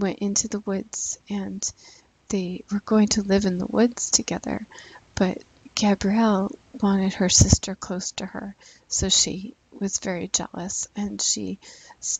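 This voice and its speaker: A quiet voice speaks at a fairly slow pace, with long, frequent pauses. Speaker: gaming YouTuber. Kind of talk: let's play commentary. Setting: at home, son asleep. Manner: quiet, low volume.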